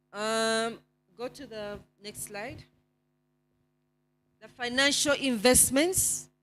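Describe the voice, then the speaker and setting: Music plays in the background as a woman with a non-native accent speaks at a very slow pace with long, frequent pauses. Her pitch is fairly high, with ordinary variation. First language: not English. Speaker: NGO network presenter. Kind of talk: report presentation. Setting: conference with slides. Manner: hesitant, with fillers.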